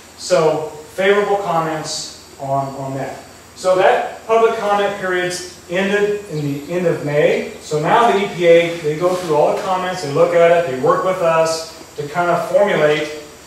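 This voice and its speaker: With strong room echo and light background noise, a man speaks at a high pitch and moderate pace with ordinary pitch variation. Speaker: presenter. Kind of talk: presentation to farmers. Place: hall. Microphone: camera far.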